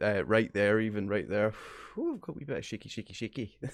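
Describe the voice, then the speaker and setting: Talking at a very fast pace, a man with a fairly low voice speaks in a Glaswegian accent. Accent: Glaswegian Scottish. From Scotland, Glasgow. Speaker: gaming streamer. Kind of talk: live stream chat. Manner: animated.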